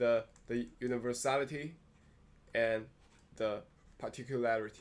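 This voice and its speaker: A man's medium-pitched voice in a Chinese accent, very slow in pace with fairly even intonation. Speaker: philosophy video host. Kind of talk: monologue lecture. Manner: halting, many fillers and restarts.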